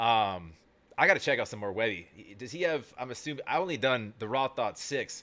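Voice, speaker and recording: A bright, sharp voice with an American accent comes through on a very clean recording with a silent background. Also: man. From California, San Diego. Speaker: music reaction youtuber. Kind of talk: casual reaction commentary. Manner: fast.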